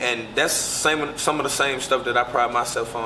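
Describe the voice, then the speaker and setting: A man's voice in a room with audible echo and noticeable background noise. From US South, Pine Bluff, Arkansas. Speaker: college football player. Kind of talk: interview. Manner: casual.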